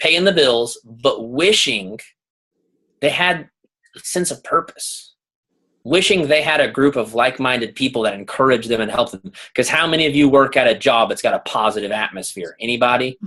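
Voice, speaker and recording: Loud and animated, a man speaks with a bright, sharp tone at medium pitch. His intonation is lively and his pace moderate. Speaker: leadership coach and guest speaker. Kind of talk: motivational talk on group video call.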